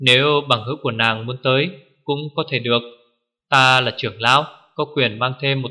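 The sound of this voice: The background stays quiet while an unforced reading voice comes through.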